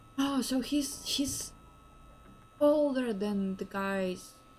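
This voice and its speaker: A woman speaks at a very slow pace with a fairly high pitch. Noticeable background noise is present. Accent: Ukrainian. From Ukraine. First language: Ukrainian. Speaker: game streamer. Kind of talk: casual live-stream commentary.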